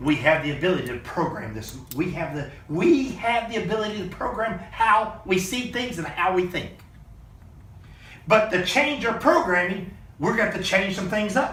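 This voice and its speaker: The voice sounds animated, with lively intonation at a moderate pace. Room echo is audible and background noise is noticeable. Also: man, high pitch for a man. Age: 50s. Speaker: motivational business mentor. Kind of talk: motivational talk on a group call. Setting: video call.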